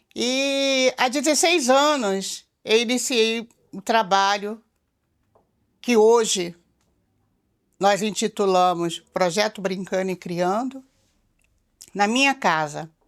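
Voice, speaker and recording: A woman talks at a very slow pace with long, frequent pauses, fairly high pitch and lively intonation on a very clean recording with a silent background. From Rio de Janeiro, Brazil. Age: 60s. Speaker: community project founder. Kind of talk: documentary interview.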